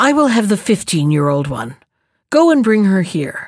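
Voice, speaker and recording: In a put-on character voice, a woman at medium pitch makes very wide pitch swings at a fairly slow pace. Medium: read story. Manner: imperious.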